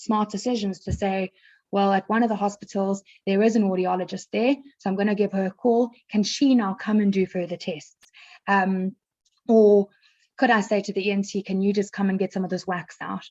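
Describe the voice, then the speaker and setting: At a moderate pace, a woman with a medium pitch speaks in a dark, mellow tone with fairly even intonation, the sound dry and close with no echo. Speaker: speech therapist and audiologist. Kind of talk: interview. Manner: hesitant, many fillers and restarts.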